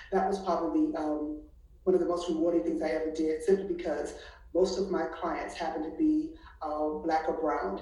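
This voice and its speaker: Audible room echo surrounds a woman with an American accent who talks at a moderate pace. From Washington DC. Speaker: college counselor. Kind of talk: casual chat.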